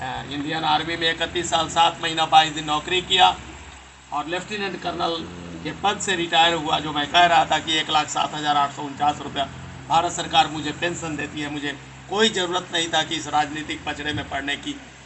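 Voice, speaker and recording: A man speaks in a fairly high pitch at a moderate pace. His intonation is monotone and flat, with noticeable background noise. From India, Bihar (Sheohar area). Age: 60s. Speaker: retired army officer and political candidate. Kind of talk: political campaign speech. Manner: hesitant fillers.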